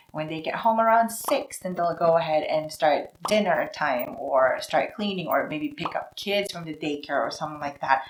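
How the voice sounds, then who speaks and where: In a Filipino accent, the woman's fairly low voice moves at a moderate pace with lively intonation and hardly any pauses. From Philippines. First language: Tagalog. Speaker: vlogger. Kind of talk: casual vlog talk to camera. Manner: conversational, acts out voices.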